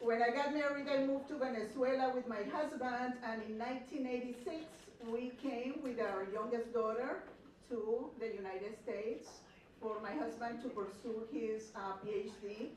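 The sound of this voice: A woman speaks at a moderate pace in a slightly mellow tone, with audible room echo around her. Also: fairly high pitch for a woman, ordinary pitch variation.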